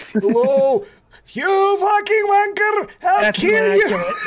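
An extremely high-pitched, put-on character voice from a man, at a very slow pace. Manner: shouting, threatening.

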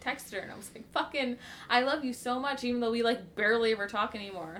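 Fairly high in pitch with ordinary variation, this woman has an unremarkable speaking voice. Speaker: podcast co-host. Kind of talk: casual chat.

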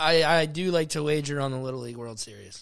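In a very clean recording with a silent background, a man with a fairly high pitch and a bright, sharp tone speaks with ordinary pitch variation. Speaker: podcast host. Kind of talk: casual banter. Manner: joking, interrupting.

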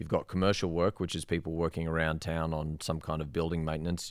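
Delivered at a very fast pace, the speech comes in an Australian accent with monotone, flat intonation. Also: man. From Australia, Sydney. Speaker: rope access instructor. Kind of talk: casual interview.

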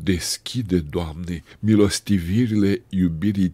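A very slow, solemn delivery in a dark, mellow tone, recorded very cleanly against a silent background. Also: man. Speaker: Orthodox prayer reader. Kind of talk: fervent prayer. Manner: solemn, supplicating, humble.

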